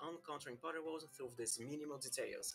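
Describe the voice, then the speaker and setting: Music plays in the background as a man speaks at a fairly high pitch. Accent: Portuguese. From Brazil. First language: Portuguese. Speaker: game server staff member. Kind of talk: scripted narration.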